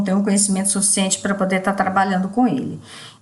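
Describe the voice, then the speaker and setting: A woman with a medium-pitched voice speaks over noticeable background noise, and the room echo can be heard. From Brazil, Minas Gerais (Ituiutaba). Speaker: teacher. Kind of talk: recorded course assignment presentation.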